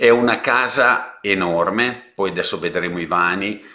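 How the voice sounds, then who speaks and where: A man with a bright, sharp tone speaks against a quiet background. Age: 60s. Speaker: real estate agent. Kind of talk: property presentation live stream; live property presentation. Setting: live stream. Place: home room. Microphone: webcam.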